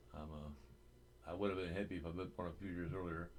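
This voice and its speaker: With audible room echo, a man speaks at a moderate pace in a very deep, low pitch with vocal fry and ordinary pitch variation. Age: 60s. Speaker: vlogger. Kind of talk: casual monologue. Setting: home webcam recording. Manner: hesitant, with frequent fillers.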